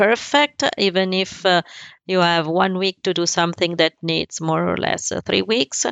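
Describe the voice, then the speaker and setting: Here is a woman talking. She has an Italian accent. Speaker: embroidery business owner. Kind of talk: interview. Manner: halting.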